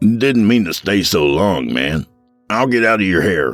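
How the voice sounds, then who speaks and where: With faint music in the background, a man does a put-on character voice at a moderate pace, fairly low-pitched and raspy, with very wide pitch swings. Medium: read story. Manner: casual, slangy.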